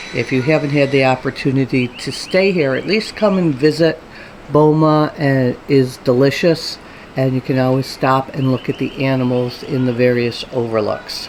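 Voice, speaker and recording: A woman with a very deep, low pitch and ordinary pitch variation at a moderate pace, with noticeable background noise. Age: 60s. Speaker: travel vlogger. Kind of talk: vlog narration. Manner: casual, many filler ums.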